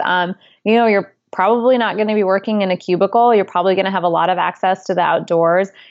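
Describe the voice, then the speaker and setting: Speaking at a fairly quick pace with an American accent, a woman uses a normal speaking voice with ordinary pitch variation. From upstate New York. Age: 30s. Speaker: author and former seasonal worker. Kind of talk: interview.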